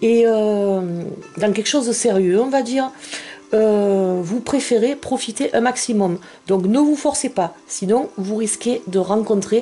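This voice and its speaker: Very even in loudness, a woman with a fairly high pitch speaks at a very slow pace. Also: ordinary pitch variation. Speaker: tarot card reader. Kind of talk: tarot reading video. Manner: hesitant, many fillers.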